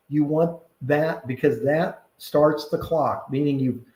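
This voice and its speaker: A man's dark, mellow, somewhat breathy voice, fairly high in pitch. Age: 60s. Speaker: tax accountant and real estate broker. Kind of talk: tutorial. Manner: halting, many fillers.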